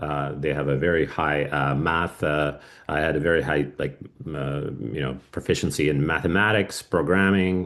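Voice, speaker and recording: Vocal fry marks this man's very deep, low voice. He keeps a moderate pace and fairly even intonation. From Russia. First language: Russian. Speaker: cybersecurity business owner. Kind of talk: podcast interview. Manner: halting, many fillers.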